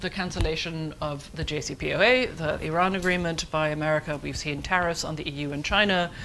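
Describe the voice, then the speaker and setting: Room echo can be heard. A woman talks with ordinary pitch variation. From Germany. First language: German. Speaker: foreign policy analyst. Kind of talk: conference panel talk. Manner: fast.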